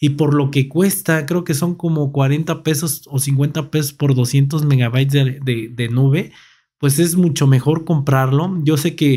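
Somewhat breathy speech in a Mexican accent comes at a fairly slow pace with very even loudness and fairly even intonation over a quiet background. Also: man, fairly high pitch for a man. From Mexico. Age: 30s. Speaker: tech YouTuber. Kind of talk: product review. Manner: casual. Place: home room. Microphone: studio mic.

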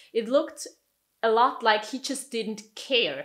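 With a quiet background behind her, a woman's voice shows ordinary pitch variation. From Switzerland. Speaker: YouTuber minimalism vlogger. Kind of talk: monologue vlog, personal storytelling. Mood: calm, reflective. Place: home room.

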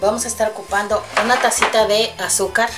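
A woman talks at a moderate pace. Music can be heard clearly behind her. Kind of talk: cooking tutorial. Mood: warm, cheerful. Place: kitchen. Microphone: camera far.

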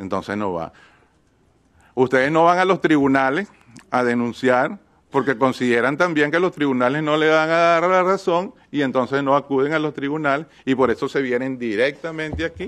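A man with a plain, everyday voice talks at a moderate pace, his fairly high pitch carried by lively intonation. The background is quiet. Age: 60s. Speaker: state representative. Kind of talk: hearing testimony. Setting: hearing room.

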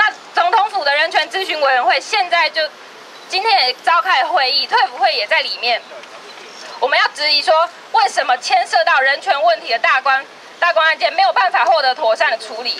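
Speaking with a Taiwanese accent, a woman uses an extremely high pitch and lively intonation. Her voice is raised and projected at a fairly quick pace over light background noise. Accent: Taiwanese Mandarin. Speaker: housing rights activist. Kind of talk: protest speech. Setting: outdoors. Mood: firm, critical. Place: street. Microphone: handheld.

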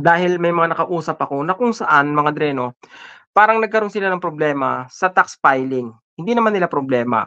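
A fairly quick pace against a quiet background. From Philippines. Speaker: podcast co-host. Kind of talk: casual chat. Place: home room. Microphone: video call.

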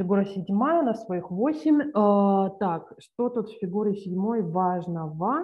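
A woman speaks at a very slow pace with big swings in loudness, set against a quiet background. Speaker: journal club presenter; presenter. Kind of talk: paper presentation. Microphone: video call.

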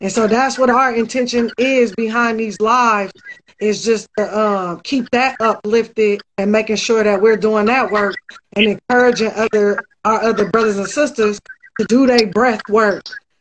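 Over light background noise, a woman speaks at a moderate pace with fairly high pitch and fairly even intonation. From US West Coast. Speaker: livestream co-host. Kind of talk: casual chat. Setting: video call. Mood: warm, earnest, uplifting. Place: home room. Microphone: video call.

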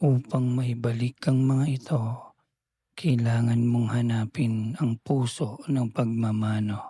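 Very slow and somewhat breathy, a man speaks at a medium pitch in a dark, mellow, soothing, gentle tone, with fairly even intonation and very even loudness. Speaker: bedtime storyteller. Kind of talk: bedtime story narration, read aloud. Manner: slow, soothing, gentle; calm, dreamy storytelling pace.

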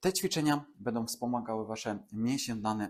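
A man's medium-pitched, a normal speaking voice with fairly even intonation, in a very clean recording with a silent background. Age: 30s. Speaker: fitness and regeneration trainer. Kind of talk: exercise tutorial. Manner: calm, instructive.

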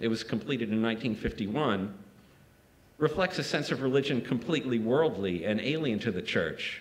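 A man talks at a moderate pace in a medium pitch. His intonation is lively. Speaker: art critic and poet. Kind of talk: lecture. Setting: lecture hall with audience. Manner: formal, academic. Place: hall. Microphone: podium.

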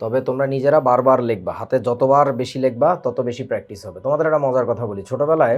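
A man with a normal speaking voice, medium pitch and ordinary pitch variation. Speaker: chemistry teacher. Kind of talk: lecture. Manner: casual, conversational.

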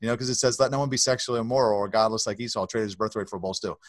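A man speaks with an American accent. The sound is dry with no echo, and the background is quiet. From Baltimore, US. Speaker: author and nonprofit founder; podcast guest. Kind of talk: testimony; interview answer. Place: office.

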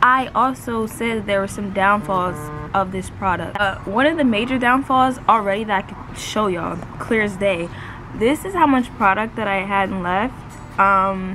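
With music playing in the background, a woman talks at a moderate pace with ordinary pitch variation. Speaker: beauty vlogger. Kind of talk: casual product review chat. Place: garden. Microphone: phone near.

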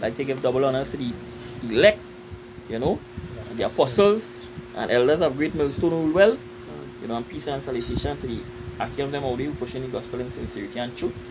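Very fast speech from a man at a medium pitch, lively in intonation, broken by long, frequent pauses, with noticeable background noise. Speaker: religious group member. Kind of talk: religious discussion.

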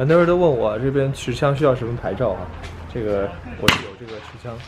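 A man talks at a fairly quick pace. The sound is dry with no echo, but the background noise is loud. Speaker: vlogger. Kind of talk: casual vlog chat. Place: street. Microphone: phone near.

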